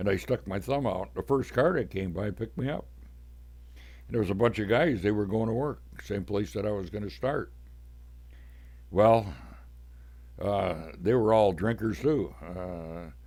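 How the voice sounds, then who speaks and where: A man's fairly low, vocal-fry voice at a fairly slow pace, with very wide pitch swings and long, frequent pauses. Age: 80s+. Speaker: podcaster. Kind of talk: personal storytelling. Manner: casual.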